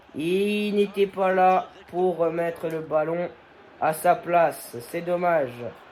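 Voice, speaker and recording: The speech comes very slowly, with noticeable background noise present throughout. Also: man, high pitch for a man. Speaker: gaming youtuber. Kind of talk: gameplay commentary. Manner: restrained volume; animated.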